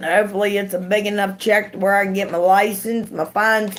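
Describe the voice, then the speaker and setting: A woman speaks with an Appalachian accent. Her pitch sits in the medium range. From West Virginia. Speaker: YouTube live streamer. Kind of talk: casual chat.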